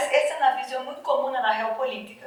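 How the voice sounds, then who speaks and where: Over noticeable background noise and audible room echo, a woman with a Brazilian accent speaks in a high pitch. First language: Portuguese (speaking Spanish). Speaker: academic panelist. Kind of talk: panel talk.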